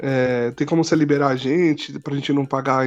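A man's fairly high-pitched voice comes through at a moderate pace. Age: 20s. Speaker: church community member. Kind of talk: casual chat. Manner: halting.

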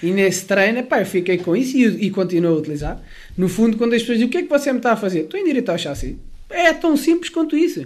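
A man speaks at a very fast pace in a high pitch. His pitch swings very widely. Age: 20s. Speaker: personal trainer. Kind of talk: interview conversation. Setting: home.

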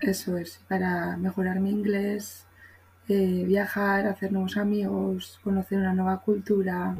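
A woman's somewhat breathy, medium-pitched voice with monotone, flat intonation, at a fairly slow pace. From Spain. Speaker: primary school teacher and former au pair. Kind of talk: casual chat.

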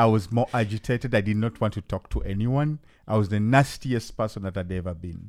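The speaker has a Ugandan accent and ordinary pitch variation at a fairly quick pace. The recording is very clean, with a silent background. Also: man, fairly low pitch for a man. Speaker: podcast host and hip hop artist. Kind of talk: casual chat. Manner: animated, hesitant with frequent fillers.

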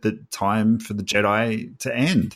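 A man with an Australian accent on a very clean recording against a silent background. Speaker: podcast co-host. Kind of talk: casual chat.

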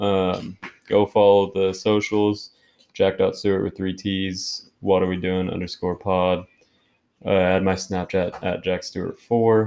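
A man's fairly low, dark, mellow voice, flat and monotone, at a fairly slow pace. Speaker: podcast host. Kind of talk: casual chat. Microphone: trying a new mic.

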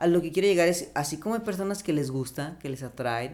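Very fast speech from a man, his pitch varying in an ordinary way. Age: 30s. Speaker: biologist. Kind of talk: casual chat.

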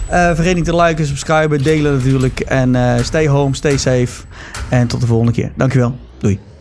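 A man's medium-pitched voice, very even in loudness, with ordinary pitch variation and noticeable background noise. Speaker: podcast host. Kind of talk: casual chat.

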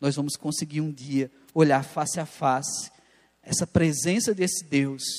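A plain, everyday voice moves at a fairly slow pace with ordinary pitch variation. The background is quiet. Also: man, fairly high pitch for a man. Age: 30s. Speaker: pastor. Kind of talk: sermon. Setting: church.

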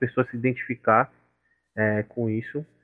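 A man with an unremarkable speaking voice, medium in pitch, at a fairly quick pace. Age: 20s. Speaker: software engineer, student association member. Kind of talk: casual interview.

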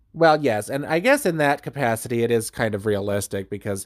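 In a plain, everyday voice, a man keeps to a moderate pace. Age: 30s. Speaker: book podcast host. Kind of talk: casual chat.

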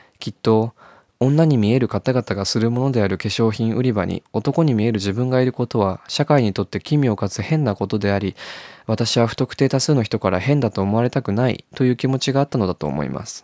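A man with a medium pitch talks at a fairly quick pace in a dark, mellow tone with ordinary pitch variation, his voice dry and close with no echo on a very clean recording with a silent background. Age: 20s. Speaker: podcast host. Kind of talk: reading aloud own diary.

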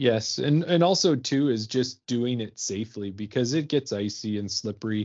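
A man speaks in a plain, everyday voice with a Canadian accent, at medium pitch and a moderate pace, his intonation lively. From Ontario and Alberta, Canada. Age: 40s. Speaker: podcast co-host, amateur disc golfer. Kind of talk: casual chat.

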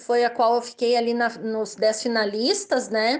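A high-pitched woman talks in a Gaúcho Brazilian accent. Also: quiet background. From southern Brazil (Rio Grande do Sul). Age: 30s. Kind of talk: interview answers.

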